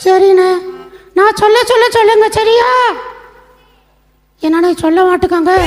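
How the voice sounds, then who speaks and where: Extremely high in pitch, a cartoonish character voice unfolds at a fairly slow pace. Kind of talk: children's puppet show.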